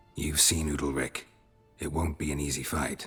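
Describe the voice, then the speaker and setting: Growling in a put-on character voice, the speaker keeps a moderate pace while faint music plays in the background. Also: man, very deep, low pitch for a man. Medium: video game. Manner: brisk, wry.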